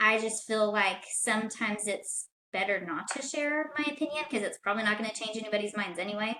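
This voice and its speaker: A woman speaks at a fairly quick pace with hardly any pauses, her fairly high voice bright and sharp in tone, with ordinary pitch variation. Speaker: podcast guest. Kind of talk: casual chat. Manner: soft-spoken.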